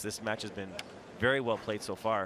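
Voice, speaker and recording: A man talks in a normal speaking voice at a fairly low pitch, fairly quick, with ordinary pitch variation. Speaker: tennis commentator. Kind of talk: live sports commentary, expert analyst reel.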